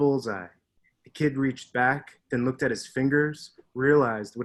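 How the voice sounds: The background is quiet as a natural reading voice carries fairly even intonation.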